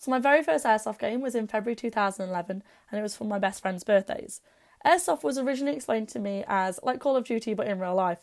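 This woman talks at a very fast pace. She has an East Midlands accent. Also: fairly high pitch for a woman, lively intonation. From England, Derby (East Midlands). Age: 20s. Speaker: airsoft blogger and podcaster. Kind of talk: personal storytelling podcast monologue.

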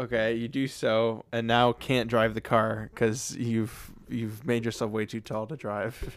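At a very slow pace, a man of medium pitch speaks in a playful tone with monotone, flat intonation. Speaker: podcast host. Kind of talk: casual comedy chat with hypotheticals. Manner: joking, playful.

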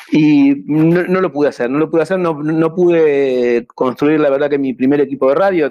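A man with a fairly high pitch talks at a moderate pace with hardly any pauses. His loudness is very even and his pitch varies in an ordinary way. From Argentina. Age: 60s. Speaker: amateur radio operator. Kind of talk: talk with slides. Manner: halting, repetitive.

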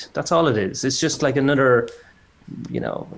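Here is a man with an Irish accent. He talks at a fairly quick pace with ordinary pitch variation. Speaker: designer. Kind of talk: casual chat.

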